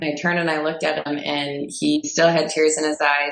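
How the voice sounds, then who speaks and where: A woman's very deep, low pitch in a Midwestern accent, monotone and flat, at a moderate pace. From US Midwest, Fond du Lac, Wisconsin. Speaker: personal trainer and entrepreneur. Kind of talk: personal story in podcast interview.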